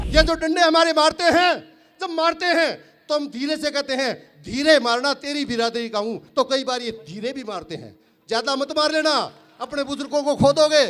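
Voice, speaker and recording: A man's extremely high voice moves with ordinary pitch variation. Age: 60s. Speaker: farmer leader and activist. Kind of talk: political rally speech. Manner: loud, fiery oratory.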